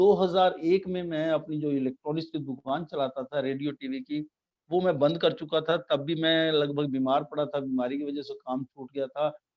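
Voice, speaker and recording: A man with a normal speaking voice, fairly high in pitch, with fairly even intonation. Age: 60s. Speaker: network marketing business presenter. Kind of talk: business presentation with slides.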